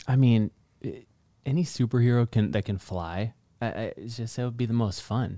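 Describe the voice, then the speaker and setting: On a very clean recording with a silent background and a dry, close sound with no echo, a man with an American accent speaks at medium pitch in a dark, mellow tone, with ordinary pitch variation at a moderate pace. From northern Michigan. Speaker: real estate agent. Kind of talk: casual interview.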